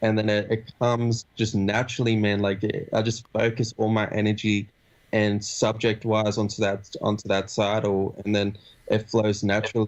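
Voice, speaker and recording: This man's fairly low voice moves at a moderate pace with monotone, flat intonation. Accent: Australian. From Australia. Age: 20s. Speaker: rapper. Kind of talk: interview. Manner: casual, halting.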